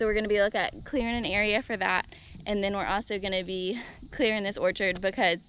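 Over light background noise, a woman talks at a very fast pace with fairly even intonation, the sound dry with no echo. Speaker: homesteading vlogger. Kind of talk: casual vlog chat. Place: open country. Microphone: phone near.

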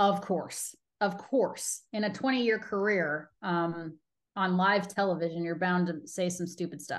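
Over a quiet background, a woman with an American accent speaks at a fairly slow pace and medium pitch, with ordinary pitch variation. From Colorado. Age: 40s. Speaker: baseball TV host and reporter; baseball TV host, reporter. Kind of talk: casual interview. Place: home room. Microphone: video call.

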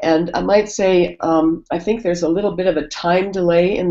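A woman with a General American accent has a fairly low pitch and a dark, mellow tone. She keeps a moderate pace with ordinary pitch variation. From United States. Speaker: organizational consultant. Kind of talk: webinar presentation. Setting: online call.

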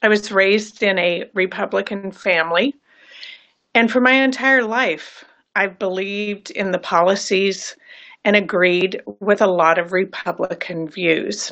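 Over a quiet background, a woman speaks at medium pitch and a fairly slow pace with ordinary pitch variation. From California. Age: 60s. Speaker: voter giving political testimonial. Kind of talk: testimony. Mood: earnest, regretful. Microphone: phone near.

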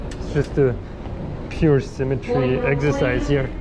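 Loud background noise surrounds a man as he talks. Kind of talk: casual vlog chat. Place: station. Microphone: phone near.

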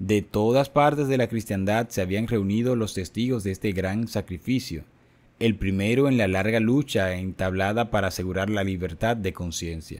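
Dramatic, solemn male speech at a moderate pace with ordinary pitch variation, in a very clean recording with a silent background. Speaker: narrator reading a book aloud. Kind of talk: scripted narration, audiobook reading of a religious history. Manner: dramatic, solemn, measured narration that builds tension; formal, even-paced.

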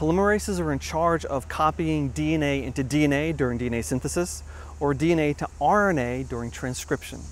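A man talks at a moderate pace and medium pitch, his pitch swinging very widely. The sound is dry with no echo, over light background noise. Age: 50s. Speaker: science educator. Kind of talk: educational talk. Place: open country. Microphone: lapel.

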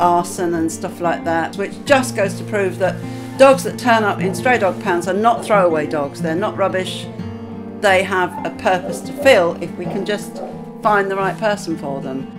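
Music plays clearly in the background. A woman speaks at a moderate pace. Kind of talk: interview answer. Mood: earnest, concerned.

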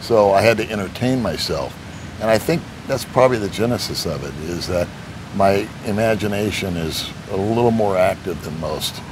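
A man speaks at a moderate pace with ordinary pitch variation, noticeable background noise behind him. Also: fairly low pitch for a man. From United States. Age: 60s. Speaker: retired expat YouTuber; interview guest, video channel host. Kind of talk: interview conversation. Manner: humorous, entertaining. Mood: relaxed, reflective storytelling. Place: garden. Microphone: lapel.

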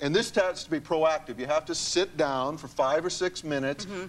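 A man with an unremarkable speaking voice talks at a moderate pace, his fairly high pitch varying in an ordinary way. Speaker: hypnotist and author. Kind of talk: talk show interview. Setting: TV studio with audience. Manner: conversational, explaining.

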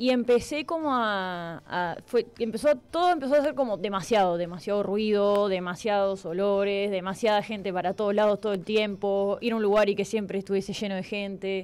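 A woman talks at a moderate pace in a Uruguayan accent, with medium pitch and ordinary pitch variation. She leaves hardly any pauses. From Uruguay, La Paloma (Rocha). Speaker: writer and journalist. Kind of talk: interview.

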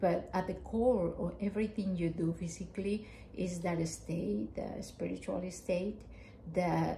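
A woman speaks with a strong Mexican accent. Light background noise can be heard. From Mexico. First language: Spanish. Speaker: family counselor; guest. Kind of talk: casual chat. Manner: halting. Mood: calm, reflective. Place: home room.

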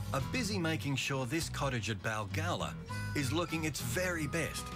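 A man talks with very wide pitch swings. Behind him, music plays. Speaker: television narrator. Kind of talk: TV documentary narration.

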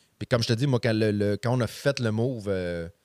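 A man talks over a quiet background with ordinary pitch variation. The sound is dry, with no echo. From Quebec, Montreal. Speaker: stand-up comedian. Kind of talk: casual chat. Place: studio. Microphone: studio mic.

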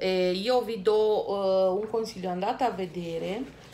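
The speaker is a woman. She talks with a Romanian accent. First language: Romanian (speaking Italian). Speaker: YouTuber. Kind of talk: vlog talk to camera. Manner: hesitant, many fillers. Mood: enthusiastic, friendly. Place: home room. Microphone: phone near.

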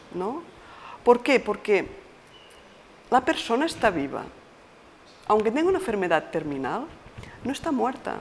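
Amid light background noise, a woman talks at a fairly slow pace with very wide pitch swings and long, frequent pauses. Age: 50s. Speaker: palliative care nurse. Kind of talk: interview monologue; interview answer. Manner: halting. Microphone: lapel.

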